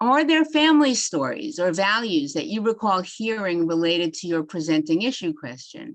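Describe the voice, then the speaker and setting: Against a quiet background, a woman with a New York accent speaks at a medium pitch and a moderate pace, with very wide pitch swings and hardly any pauses. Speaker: psychiatry doctor giving a continuing education talk. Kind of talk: lecture.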